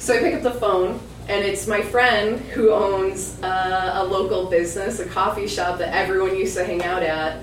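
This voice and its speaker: A woman talks with hardly any pauses. Audible room echo and noticeable background noise surround her voice. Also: medium pitch for a woman, moderate pace. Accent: American. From Michigan. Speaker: podcaster. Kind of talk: storytelling performance. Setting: stage with audience.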